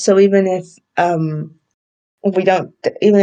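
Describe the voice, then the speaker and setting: With a British accent, a woman speaks in a dark, mellow tone and a monotone, flat intonation. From UK. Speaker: anime podcaster. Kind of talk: casual solo podcast review. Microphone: poor audio quality, borrowed or substitute mic.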